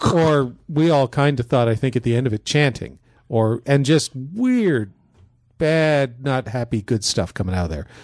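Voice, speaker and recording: A man's normal speaking voice at a medium pitch, with lively intonation, a moderate pace and a quiet background. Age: 50s. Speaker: paranormal investigator and TV show co-host. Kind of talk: casual chat.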